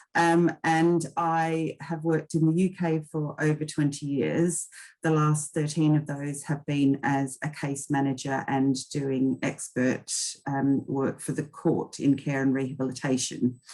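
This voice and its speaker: A woman talks at a very deep, low pitch with a dark, mellow tone and a slight Australian accent. Her intonation is monotone and flat, and her pace fairly slow. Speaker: occupational therapist and case manager. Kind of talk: webinar presentation. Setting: online webinar.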